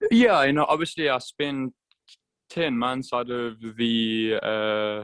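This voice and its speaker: A man with a South African accent speaks at a very slow pace in a medium pitch. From South Africa, Durban. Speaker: motorcycle racer. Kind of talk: interview. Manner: halting, many fillers.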